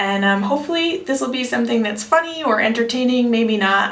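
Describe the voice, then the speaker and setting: Over noticeable background noise and audible room echo, a woman with an American accent speaks fairly quickly in a fairly high pitch. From New York City, Greenwich Village. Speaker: vlogger. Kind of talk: storytime vlog monologue. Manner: casual, chatty with fillers.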